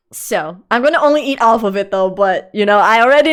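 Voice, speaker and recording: A woman with a Portuguese accent at a fairly quick pace, animated in tone with lively intonation, in a very clean recording with a silent background. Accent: non-native English, Portuguese. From central Portugal. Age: 20s. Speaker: streamer. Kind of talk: casual live-stream chat.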